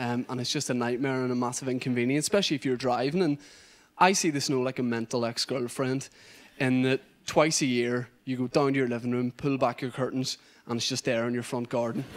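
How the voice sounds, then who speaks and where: The pace of this man's speech is fairly quick. His pitch line remains fairly even. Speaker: stand-up comedian. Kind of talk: stand-up comedy routine. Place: stage. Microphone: handheld.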